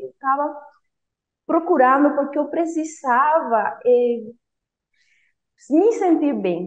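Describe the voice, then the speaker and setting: A high-pitched woman in a Spanish accent, with very wide pitch swings. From Cuba. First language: Spanish (speaking Portuguese). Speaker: former language student, engineer. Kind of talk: interview testimony. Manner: halting, with self-corrections.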